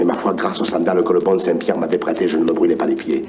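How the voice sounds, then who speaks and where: Over noticeable background noise, a man talks with a Provençal accent. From Provence. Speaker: actor. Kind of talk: story reading on record. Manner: warm.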